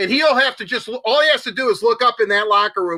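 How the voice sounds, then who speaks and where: In a raised, projected voice, a man speaks with lively intonation and a bright, sharp tone. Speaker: hockey show co-host. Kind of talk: casual sports talk. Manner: animated; fast.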